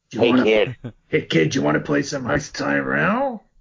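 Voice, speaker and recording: Putting on a character voice, a man speaks raspily at a fairly slow pace and a medium pitch. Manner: furtive, hushed, ingratiating.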